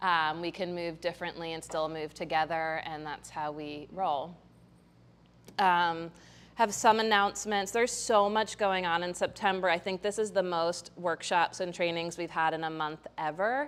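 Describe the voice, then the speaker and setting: Her voice is a normal speaking voice, fairly low in pitch with ordinary pitch variation. The woman talks at a moderate pace. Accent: American. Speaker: yoga teacher. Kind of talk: yoga class instruction and announcements. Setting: yoga studio with class present. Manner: casual, with many fillers.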